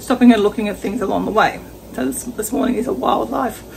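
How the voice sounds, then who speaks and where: Light noise sits in the background. Over it, a woman speaks very fast. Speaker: travel vlogger. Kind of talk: casual vlog chat. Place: kitchen. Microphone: phone near.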